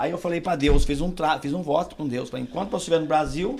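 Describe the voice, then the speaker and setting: This is a man speaking. His voice carries vocal fry. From Minas Gerais, Brazil. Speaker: pastor. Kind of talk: testimony.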